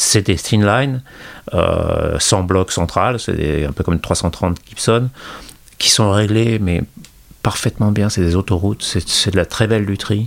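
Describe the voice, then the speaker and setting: A normal speaking voice from a man, fairly low in pitch, fairly slow, very even in loudness, with ordinary pitch variation. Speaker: guitarist and guitar journalist. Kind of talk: casual interview.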